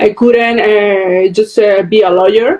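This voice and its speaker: A woman with a South American accent, fairly high pitch, moderate pace and noticeable background noise. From Venezuela. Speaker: storyteller and interviewer. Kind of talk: interview. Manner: halting.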